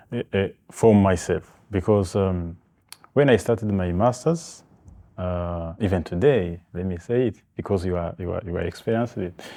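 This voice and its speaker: A man's very deep, low, dark and mellow voice in a French accent, at a moderate pace with ordinary pitch variation, on a very clean recording with a silent background. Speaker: human rights organisation founder, master's student. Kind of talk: interview. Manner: halting, many fillers.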